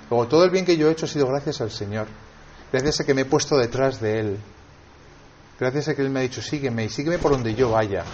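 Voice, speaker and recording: A man with a Spanish accent talks at a very fast pace, yet with long, frequent pauses. His pitch variation is ordinary. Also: medium pitch for a man. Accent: Peninsular Spanish. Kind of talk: sermon. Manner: halting.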